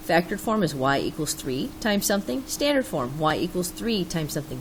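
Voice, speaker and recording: Animated in tone, a woman with a fairly low pitch speaks at a fairly quick pace with very wide pitch swings, over noticeable background noise. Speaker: math teacher. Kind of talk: tutorial.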